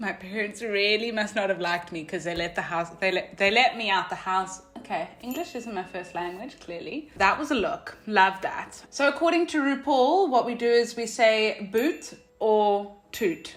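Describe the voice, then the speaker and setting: A woman's fairly high voice with very wide pitch swings, a moderate pace and hardly any pauses, over noticeable background noise. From South Africa. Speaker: vlogger. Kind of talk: casual vlog commentary. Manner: animated.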